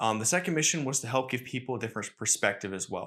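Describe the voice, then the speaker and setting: Mumbling, a man speaks at a very fast pace. The recording is very clean, with a silent background. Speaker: podcast host. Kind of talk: casual solo podcast monologue. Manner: fast talker, mumbles; energetic on topics.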